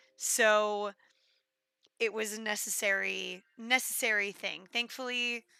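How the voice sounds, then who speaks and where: A loud woman's voice, fairly high-pitched and bright with a sharp edge, flat and monotone at a very slow pace, on a very clean recording with a silent background. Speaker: game streamer. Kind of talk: casual live stream chat. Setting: live stream.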